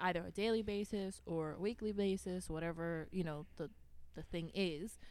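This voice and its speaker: At a medium pitch, a woman talks in an unremarkable speaking voice. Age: 20s. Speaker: fitness coach. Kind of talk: casual chat.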